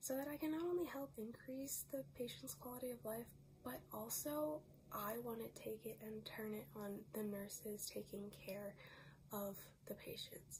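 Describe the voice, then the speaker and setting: There is noticeable background noise as a woman talks at a moderate pace. Her fairly high voice has very wide pitch swings. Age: 20s. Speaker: nurse. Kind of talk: grant application video, personal statement.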